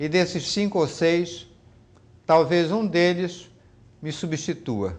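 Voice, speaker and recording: A man's high-pitched voice at a very slow pace, with long, frequent pauses and ordinary pitch variation. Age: 70s. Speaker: law professor. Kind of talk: interview. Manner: halting, with repetitions.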